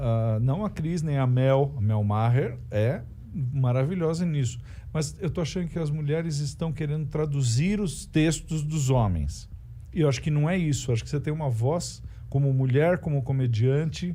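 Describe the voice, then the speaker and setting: In a room with audible echo, a man with a fairly high pitch and a dark, mellow, somewhat breathy tone talks at a moderate pace with ordinary pitch variation. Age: 60s. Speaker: stand-up comedian. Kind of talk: casual chat. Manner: halting.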